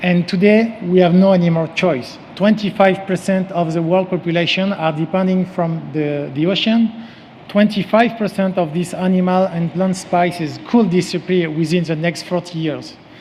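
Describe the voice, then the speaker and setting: A man with a strong French accent, high-pitched for a man, fairly even in intonation, at a moderate pace with hardly any pauses, over noticeable background noise. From France. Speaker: company CEO and former sailing champion. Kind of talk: conference presentation. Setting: stage with audience. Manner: halting, with frequent fillers.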